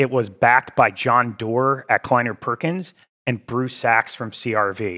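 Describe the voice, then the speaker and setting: In a very clean recording with a silent background, a man with an American accent talks at a fairly slow pace, his medium-pitched voice bright and sharp, the sound dry and close with no echo. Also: ordinary pitch variation. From Connecticut, US. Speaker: venture capital investor. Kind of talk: podcast interview.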